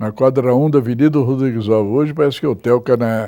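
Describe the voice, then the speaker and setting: This man has a dark, mellow tone at a medium pitch. His intonation is fairly even. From São Paulo state interior, Botucatu. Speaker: local historian. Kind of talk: interview. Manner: halting, many repetitions.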